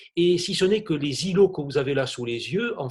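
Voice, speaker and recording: In a southern French accent, a man speaks with lively intonation and a somewhat breathy sound. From southern France. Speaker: art historian. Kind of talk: illustrated lecture. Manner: hesitant with frequent fillers; enthusiastic.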